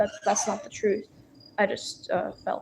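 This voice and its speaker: A woman speaks in a fairly high, somewhat breathy voice with ordinary pitch variation. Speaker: livestreamer. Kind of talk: casual livestream chat. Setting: filming in public room. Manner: halting, stuttering.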